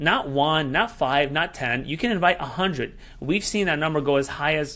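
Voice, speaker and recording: Ordinary pitch variation runs through this man's bright, sharp tone. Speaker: software sales presenter. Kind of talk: sales pitch. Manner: fast; hesitant fillers.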